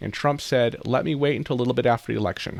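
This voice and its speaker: A man at medium pitch with an American accent. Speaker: YouTuber and accountant giving news updates. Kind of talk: casual news commentary to camera. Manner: fast.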